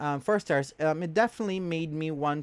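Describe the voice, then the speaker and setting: In a very clean recording with a silent background, a man with a Portuguese accent speaks at a moderate pace with a fairly high pitch. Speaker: book vlogger. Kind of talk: casual book review monologue. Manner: hesitant with many fillers.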